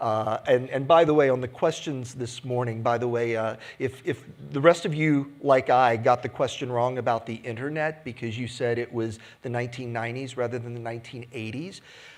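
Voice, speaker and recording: A man speaks at a fairly quick pace in a medium pitch, with a plain, everyday voice. His intonation stays fairly even. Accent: American. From United States. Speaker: industry analyst. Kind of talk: conference keynote. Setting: stage with audience.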